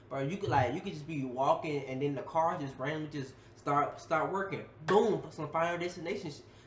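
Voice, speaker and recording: With noticeable background noise and audible room echo, a man speaks at a fairly quick pace and fairly high pitch, showing ordinary pitch variation and big swings in loudness. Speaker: YouTube reactor. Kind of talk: reaction video commentary. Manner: fast; animated.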